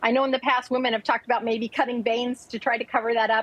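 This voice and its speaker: Animated and very fast, a woman talks in a high voice over noticeable background noise. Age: 60s. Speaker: lifestyle consultant. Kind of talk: sales pitch.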